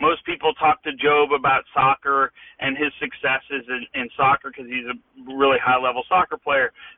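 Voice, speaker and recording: A man with an unremarkable speaking voice talks at a moderate pace, his fairly high pitch held in fairly even intonation. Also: hardly any pauses. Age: 40s. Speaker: father of four, adoptive parent. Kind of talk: interview conversation.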